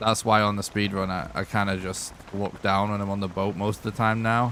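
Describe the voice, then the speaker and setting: The speaker has a Lancashire accent and a fairly quick pace. The intonation is monotone and flat over noticeable background noise. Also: man, fairly low pitch for a man. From northern England, Lancashire. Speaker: video game streamer. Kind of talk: live gameplay commentary. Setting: live stream. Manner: casual, rambling.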